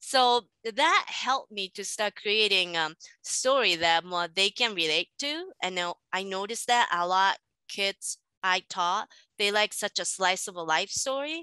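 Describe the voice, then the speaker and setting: A woman with a Japanese accent at a fairly slow pace, lively intonation and a bright, sharp tone, in a dry, close sound with no echo over a quiet background. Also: medium pitch for a woman. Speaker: manga artist and teacher. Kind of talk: interview.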